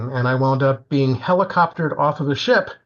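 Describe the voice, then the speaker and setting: At a fairly quick pace, a somewhat breathy man with medium pitch speaks with ordinary pitch variation. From Florida. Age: 70s. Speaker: composer. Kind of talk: interview.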